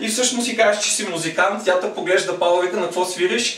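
With an animated, playful tone, a man talks at a fairly quick pace and a high pitch. His pitch varies in an ordinary way, with audible room echo and light background noise. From Bulgaria. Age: 30s. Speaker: stand-up comedian. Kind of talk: stand-up comedy. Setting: stage with audience. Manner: animated, playful crowd banter with ad-libbed jokes. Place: home room. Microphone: camera far.

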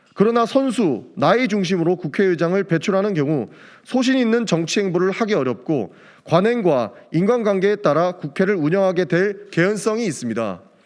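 Lively intonation in a man's high voice, delivered at a moderate speed. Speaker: first-term lawmaker. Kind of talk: press statement reading. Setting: press conference room. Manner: formal.

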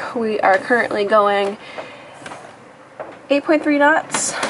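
Behind the woman talking, there is light background noise. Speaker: sailing vlogger. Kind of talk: casual vlog chat. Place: boat. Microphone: phone near.

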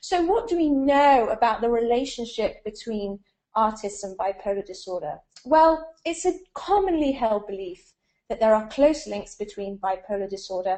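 Against a quiet background, a woman talks at a moderate pace. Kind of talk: lecture. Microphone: video call.

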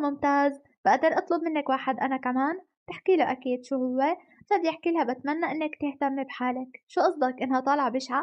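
A high-pitched woman's voice at a fairly quick pace. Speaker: anime recap narrator. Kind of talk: story narration. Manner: animated.

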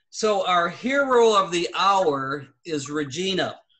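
The pace is very slow. The background is quiet. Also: man. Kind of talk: meeting announcements. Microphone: video call.

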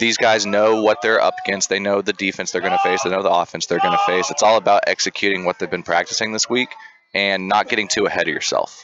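The words come at a very fast pace, their loudness staying very even throughout. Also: man. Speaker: lacrosse color commentator. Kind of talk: live commentary. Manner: animated.

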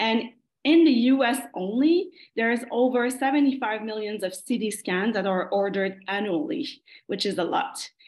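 A woman with a Quebec accent speaks at a fairly slow pace with lively intonation. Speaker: geriatric medicine fellow. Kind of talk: academic presentation. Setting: video call. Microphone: video call.

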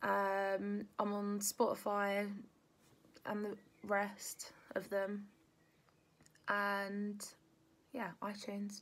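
A woman with a southern English accent, in a monotone, flat intonation with long, frequent pauses. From Kent, England. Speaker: musician; interviewee. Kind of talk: casual interview. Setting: home during lockdown. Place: home room. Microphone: phone near.

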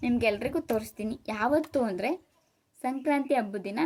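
Ordinary pitch variation from a woman pitched fairly high. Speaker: vlogger. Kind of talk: casual vlog talk to camera. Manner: halting.

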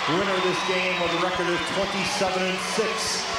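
Loud background noise and audible room echo fill the recording. A man speaks at a fairly slow pace. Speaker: arena announcer. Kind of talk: formal lineup announcement. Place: stadium.

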